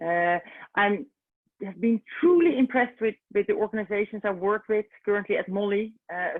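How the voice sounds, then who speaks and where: A woman is speaking with a Dutch accent. Her pace is moderate. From Netherlands. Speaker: recruitment consultant. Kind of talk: webinar presentation. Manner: halting, many fillers.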